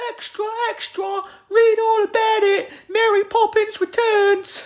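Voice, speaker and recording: In a put-on character voice with a Cockney accent, a man talks at an extremely high pitch, a fairly slow pace and a monotone, flat intonation. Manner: bad, exaggerated.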